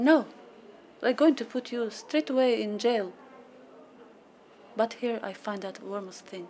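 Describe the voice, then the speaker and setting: At a fairly slow pace, a woman speaks with ordinary pitch variation, big swings in loudness and long, frequent pauses, over noticeable background noise. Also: fairly high pitch for a woman. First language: non-English. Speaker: refugee parent. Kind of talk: testimony.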